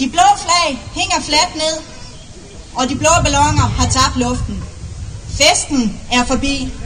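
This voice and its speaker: Amid noticeable background noise and audible room echo, a woman with a high pitch speaks at a very slow pace with ordinary pitch variation. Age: 30s. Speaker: parliamentary candidate. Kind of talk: political rally speech. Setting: outdoor rally with large audience. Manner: oratorical, emphatic.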